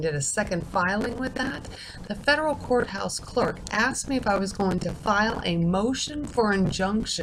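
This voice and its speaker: A woman speaks quietly with lively intonation, with audible room echo and noticeable background noise. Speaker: video blogger. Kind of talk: casual monologue.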